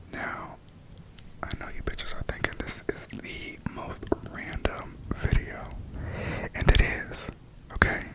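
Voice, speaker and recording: Someone whispers at a fairly slow pace, leaving long, frequent pauses. The loudness swings widely. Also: man. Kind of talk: ASMR album review. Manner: soft-spoken; casual, chatty.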